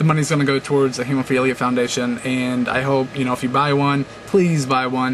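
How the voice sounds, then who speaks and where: The intonation is monotone and flat. Noticeable background noise runs underneath. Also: man. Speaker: video blogger. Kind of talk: casual vlog monologue. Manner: fast; hesitant, many fillers.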